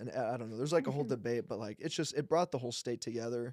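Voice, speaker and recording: This man speaks at a medium pitch. His pace is very fast. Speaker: sports podcast host. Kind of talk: casual podcast talk.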